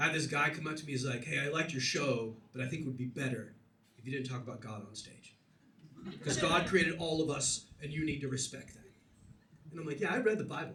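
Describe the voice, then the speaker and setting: A fairly high male voice at a fairly quick pace, with ordinary pitch variation, big swings in loudness, long and frequent pauses, and noticeable background noise. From USA. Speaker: standup comedian. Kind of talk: live standup comedy set.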